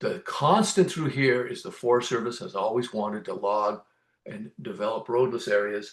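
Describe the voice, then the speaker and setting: Against a quiet background, a man talks at a moderate pace in an ordinary speaking voice, medium in pitch, with lively intonation and big swings in loudness. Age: 60s. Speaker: conservation advocate, nonprofit board member. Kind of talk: interview.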